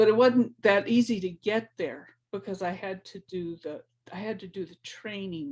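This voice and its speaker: The pace is moderate, in an ordinary speaking voice. The pitch variation is ordinary. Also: woman. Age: 60s. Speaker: spiritual teacher. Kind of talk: motivational talk. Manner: casual, repetitive.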